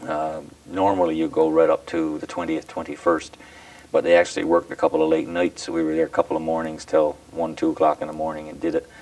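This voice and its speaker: In a Newfoundland accent, a man speaks at a very fast pace in a very deep, low pitch and a flat monotone. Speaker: provincial politician. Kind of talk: formal presentation speech; interview. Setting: studio. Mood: warm, festive. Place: home room.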